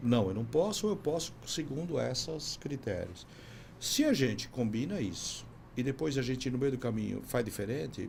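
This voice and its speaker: A man's medium-pitched voice with vocal fry and lively intonation, plus audible room echo. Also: moderate pace. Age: 60s. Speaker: business consultant. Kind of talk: podcast interview.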